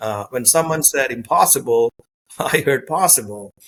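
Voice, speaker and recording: At a moderate pace, a man speaks with a slight non-native accent. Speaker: sales executive and author. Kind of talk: interview.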